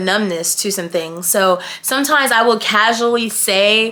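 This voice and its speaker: A woman with an American accent at a moderate pace, against noticeable background noise. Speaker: YouTuber. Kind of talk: casual vlog chat. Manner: matter-of-fact.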